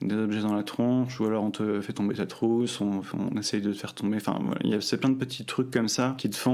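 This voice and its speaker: Monotone, flat intonation from a man at medium pitch and a moderate pace. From France, Normandy. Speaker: student telling his story. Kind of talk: personal testimony. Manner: hesitant, many fillers.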